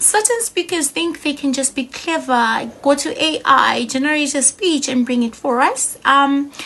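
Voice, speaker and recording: A woman with a high pitch talks in a raised, projected voice at a fairly slow pace with hardly any pauses, and noticeable background noise is present. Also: ordinary pitch variation. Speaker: public speaking trainer. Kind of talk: tutorial.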